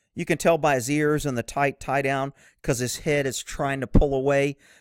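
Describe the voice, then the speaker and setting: A man with an ordinary speaking voice and a fairly high pitch talks at a moderate pace, with a dry, close sound and no echo. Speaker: horse-welfare video creator. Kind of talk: angry rant, sarcastic and scornful, aimed at mounted shooting fans; opinionated video commentary. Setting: online video with pictures shown. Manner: sarcastic.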